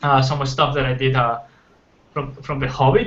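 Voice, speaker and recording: A man speaks with a Spanish accent against noticeable background noise. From Colombia. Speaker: concept artist. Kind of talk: casual interview. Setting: livestream. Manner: halting.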